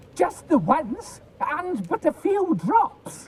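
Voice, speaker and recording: A put-on character voice, high-pitched and very slow. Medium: video game. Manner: panicky, pleading.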